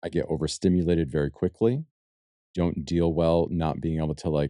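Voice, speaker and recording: Soft-spoken and at a fairly quick pace, a man with a very deep, low pitch and a dark, mellow tone speaks with fairly even intonation in a dry, close sound with no echo. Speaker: podcast host. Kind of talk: casual podcast conversation. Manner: quiet, does not carry.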